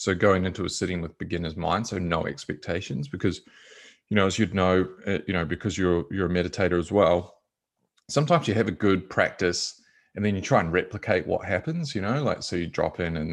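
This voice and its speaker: Against a quiet background, a man with a very deep, low voice talks at a fairly quick pace. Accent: New Zealand. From New Zealand, small rural town. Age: 30s. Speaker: meditation and yoga teacher. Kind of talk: interview. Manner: casual, halting with fillers.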